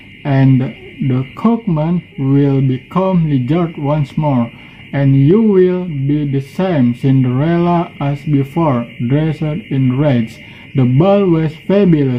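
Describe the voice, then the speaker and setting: Music plays in the background. The speech moves at a very slow pace with ordinary pitch variation. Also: man, fairly high pitch for a man. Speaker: university student. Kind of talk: storytelling reading aloud of a fairy tale.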